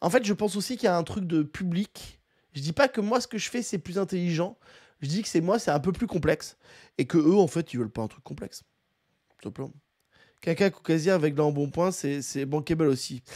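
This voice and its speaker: Against a quiet background, a man talks at a fairly quick pace and a high pitch. His loudness swings widely. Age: 40s. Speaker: content creator commentator. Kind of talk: casual reaction commentary. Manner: casual, hesitant with fillers. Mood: reflective, mildly critical. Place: home room. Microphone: studio mic.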